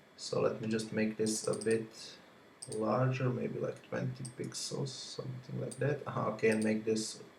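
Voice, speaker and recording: Noticeable background noise is present throughout. A man talks at a fairly slow pace over it. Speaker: software reviewer. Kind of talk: tutorial.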